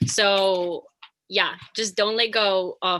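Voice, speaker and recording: A woman speaks with a Latin American accent. Her tone is bright and sharp. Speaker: actor and film student. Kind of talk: panel discussion.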